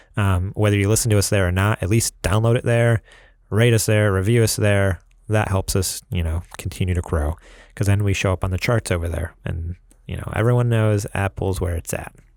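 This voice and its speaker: A man with a slight New York accent, fairly low pitch, fairly quick pace and fairly even intonation, on a very clean recording with a silent background. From New York, US. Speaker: podcast host. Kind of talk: casual chat. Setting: studio.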